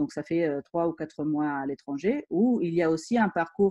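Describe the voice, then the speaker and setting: Against a quiet background, a woman talks at a moderate pace with a slight Italian accent and lively intonation. Her fairly low voice has a dark, mellow tone, and the sound is dry and close with no echo. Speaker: engineering school teacher. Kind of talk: school presentation.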